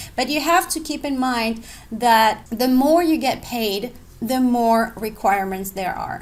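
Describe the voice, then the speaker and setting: With lively intonation and a non-native accent, a woman speaks in a high pitch. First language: not English. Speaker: online English teacher and blogger. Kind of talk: tutorial. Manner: casual, conversational.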